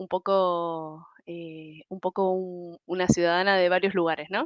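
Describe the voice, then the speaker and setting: Speaking at a very slow pace in a monotone, flat intonation, a woman with an Argentine accent and a fairly low pitch comes through with a dry, close sound with no echo against a quiet background. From Argentina. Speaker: human resources professional. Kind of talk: podcast interview. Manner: hesitant, many fillers.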